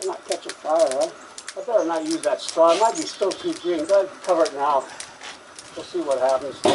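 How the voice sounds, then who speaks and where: A man with an American accent talks at a fairly quick pace, with big swings in loudness. Noticeable background noise runs underneath. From Maine, USA. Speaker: potter, war veteran. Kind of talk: casual on-site demonstration talk. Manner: colorful, easygoing.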